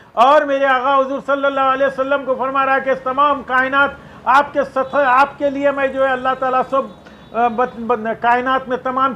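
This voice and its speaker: Raising and projecting his voice, a man speaks at an extremely high pitch. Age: 60s. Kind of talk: public statement. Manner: impassioned.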